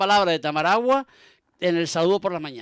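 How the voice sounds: A man talks fast in a high voice, his tone fairly bright, clear and smooth, with lively intonation.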